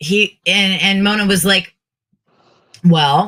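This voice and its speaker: A woman talks loudly in a bright, sharp tone. Her intonation stays fairly even. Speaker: podcast co-host and drag persona. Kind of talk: casual chat.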